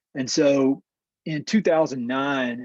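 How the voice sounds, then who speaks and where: This man speaks with a Southern US accent over a quiet background, the sound dry and close with no echo. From North Carolina. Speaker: land conservation professional. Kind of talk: webinar presentation. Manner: hesitant with repetitions.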